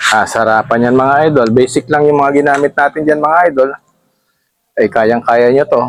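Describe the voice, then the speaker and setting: In an ordinary speaking voice, a man talks at a moderate pace with very even loudness and fairly even intonation. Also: fairly high pitch for a man. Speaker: cooking vlogger. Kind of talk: cooking tutorial. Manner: casual, chatty.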